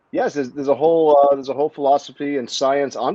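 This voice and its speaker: Talking at a very fast pace, the man has a medium-pitched voice. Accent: American. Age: 50s. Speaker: comedian, talk streamer. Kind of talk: casual interview.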